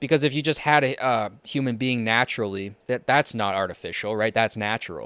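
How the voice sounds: A man's fairly low, clear, smooth voice with a fairly bright tone, a fairly quick pace and ordinary pitch variation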